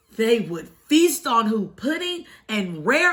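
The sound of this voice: An unforced reading voice, nothing more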